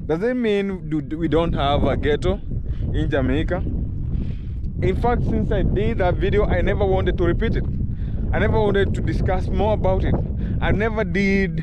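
The speech moves at a moderate pace, with a dry sound and no echo, against loud background noise. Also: man. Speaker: vlogger. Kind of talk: casual vlog chat. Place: open country. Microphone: phone near.

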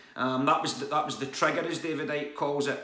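A man speaks with fairly even intonation in audible room echo. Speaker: vlogger. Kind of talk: casual vlog chat. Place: home room. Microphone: phone near.

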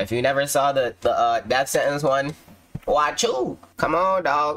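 A man talking at a moderate pace. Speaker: streamer reacting to content. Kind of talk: casual vlog chat. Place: home room.

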